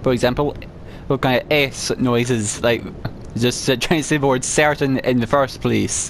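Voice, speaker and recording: Noticeable background noise sits behind a man speaking at a medium pitch and a moderate pace. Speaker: gaming let's play creator. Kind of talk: gameplay commentary with item descriptions read aloud. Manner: halting, repeated sounds on S and W.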